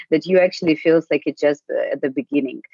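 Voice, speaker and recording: A woman speaks with a Ukrainian accent. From Ukraine. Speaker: tech sales lead. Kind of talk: interview. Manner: fast.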